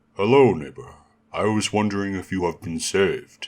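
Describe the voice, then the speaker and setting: A man's put-on character voice, fairly low in pitch, at a moderate pace. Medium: read story. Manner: warm, calm, kindly.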